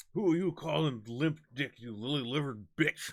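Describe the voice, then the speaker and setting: Using a put-on character voice, a man speaks at a moderate pace with lively intonation. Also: fairly high pitch for a man. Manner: indignant, aggressive.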